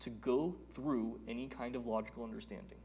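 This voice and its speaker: Audible room echo around a man's fairly slow delivery. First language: Telugu. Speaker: Vedanta teacher. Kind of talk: lecture.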